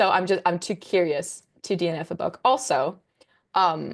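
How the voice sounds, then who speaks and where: A woman speaks at a fairly slow pace with a Danish accent. Her pitch sits fairly low, with ordinary variation. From Denmark. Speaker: content creator. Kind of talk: casual chat. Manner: hesitant, many fillers.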